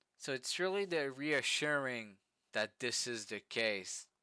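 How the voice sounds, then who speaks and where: Very slowly, a man with a French accent speaks in a bright, sharp tone with ordinary pitch variation. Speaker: vlogger. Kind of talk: casual storytelling vlog. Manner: halting, many fillers and repetitions.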